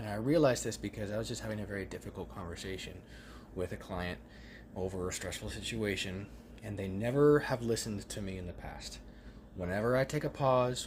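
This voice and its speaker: A man with a fairly low, somewhat breathy voice speaks at a fairly quick pace with lively intonation. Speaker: vlogger. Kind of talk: casual monologue. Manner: frequent pauses.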